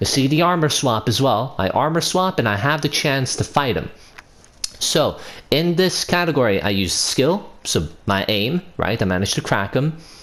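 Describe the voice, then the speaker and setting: Against clearly audible background noise, a man's pitch swings very widely. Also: very even loudness. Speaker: gaming video creator. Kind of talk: gameplay commentary tutorial. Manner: stumbling, self-correcting; casual, conversational.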